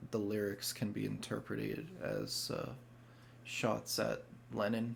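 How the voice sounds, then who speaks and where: Very slowly, a man talks in a fairly low voice. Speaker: music reaction youtuber. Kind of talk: casual reaction commentary. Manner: halting, many fillers.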